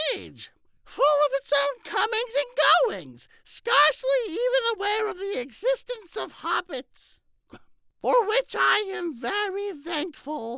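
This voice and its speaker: This is a squeaky, put-on character voice. It moves at a fairly slow pace. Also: man. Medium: solo performance. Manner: genial, wry.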